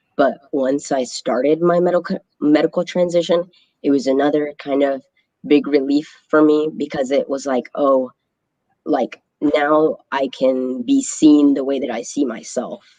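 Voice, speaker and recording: Recorded dry and close with no echo, a man with a fairly high pitch and a dark, mellow tone talks at a fairly slow pace with ordinary pitch variation. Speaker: transgender guest sharing life story. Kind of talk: interview.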